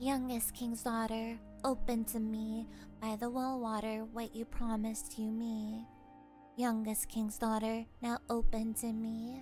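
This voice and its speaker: In a put-on character voice, a female-sounding speaker talks fairly slowly at a fairly high pitch over clear music in the background. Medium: read story. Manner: earnest, insistent.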